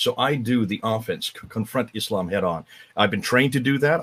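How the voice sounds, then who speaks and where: A man with an American accent talks at a fairly quick pace with ordinary pitch variation. The sound is dry and close, with no echo. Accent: sounds American. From northern India (missionary family, Himalayas). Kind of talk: interview on a live stream.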